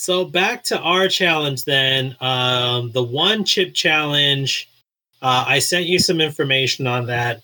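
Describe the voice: The passage gets a plain reading aloud. Behind it, all is quiet.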